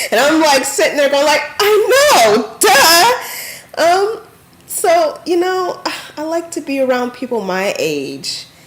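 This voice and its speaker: With audible room echo and noticeable background noise, a woman with an American accent speaks at an extremely high pitch with very wide pitch swings. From Michigan, US. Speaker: vlogger. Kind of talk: casual vlog monologue. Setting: home alone. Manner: hesitant, filler-heavy.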